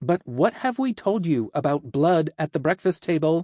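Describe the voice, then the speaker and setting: A put-on character voice with lively intonation. It holds a very even loudness at a moderate pace. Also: man, high pitch for a man. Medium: read story. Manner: rambling, playful.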